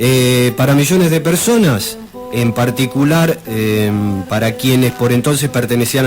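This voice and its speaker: A man with an Argentine accent and a medium pitch speaks at a fairly slow pace with lively intonation, with music in the background. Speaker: radio history presenter. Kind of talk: radio history segment.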